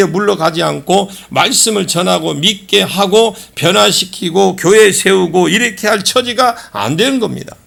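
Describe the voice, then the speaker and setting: A man's high-pitched voice, animated in tone with lively intonation, at a fairly slow pace over noticeable background noise. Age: 60s. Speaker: pastor. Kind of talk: sermon.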